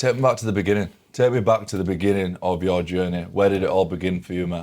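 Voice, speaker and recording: A man's very deep, low voice with an English accent, fairly even intonation and a very fast pace. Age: 20s. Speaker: podcast host. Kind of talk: podcast interview.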